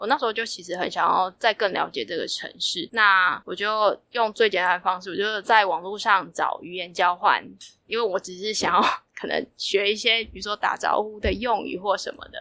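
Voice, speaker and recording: On a very clean recording with a silent background, a woman with a medium pitch and bright, sharp tone talks at a moderate pace, with ordinary pitch variation and big swings in loudness. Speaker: traveler. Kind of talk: casual interview.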